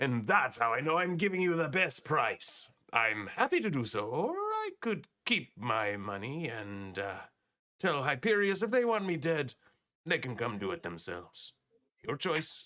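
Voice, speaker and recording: A man puts on a character voice with a fairly high pitch at a moderate pace. His pitch swings very widely. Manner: gruff, bargaining.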